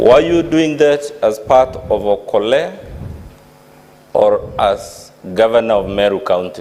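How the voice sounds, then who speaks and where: The speech moves at a very slow pace with long, frequent pauses. Loudness stays very even over noticeable background noise. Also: man. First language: not English. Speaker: lawyer cross-examining witness. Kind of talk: cross-examination at impeachment hearing. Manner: formal.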